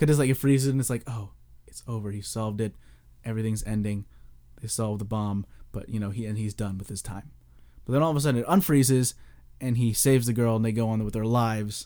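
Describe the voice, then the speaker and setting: A man speaks very fast in a medium pitch, with a dark, mellow tone and fairly even intonation. His loudness swings widely, and he takes long, frequent pauses. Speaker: podcast host. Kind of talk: casual chat.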